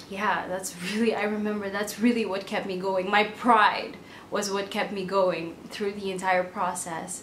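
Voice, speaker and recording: In a room with audible echo and noticeable background noise, a woman speaks at a fairly slow pace with monotone, flat intonation. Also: medium pitch for a woman. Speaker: entrepreneur vlogger. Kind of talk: personal vlog monologue. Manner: casual, with frequent fillers.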